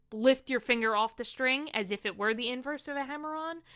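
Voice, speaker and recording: Very fast speech from a woman with a high pitch and ordinary pitch variation, on a very clean recording with a silent background. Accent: New York. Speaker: ukulele teacher. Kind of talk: tutorial.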